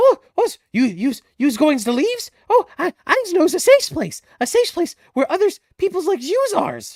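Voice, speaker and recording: A squeaky, put-on character voice at an extremely high pitch, with very wide pitch swings and a moderate pace. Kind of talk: broken grammar, speaks of himself in crude pidgin. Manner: wheedling, sly.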